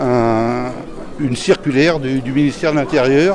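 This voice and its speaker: Over crowd noise in the background, a man talks at a fairly slow pace, his fairly high pitch showing ordinary pitch variation. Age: 70s. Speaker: retired police officer and union activist. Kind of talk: interview answer.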